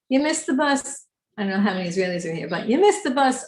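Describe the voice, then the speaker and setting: Somewhat breathy, a woman speaks in an American accent with lively intonation. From New York. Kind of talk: lecture.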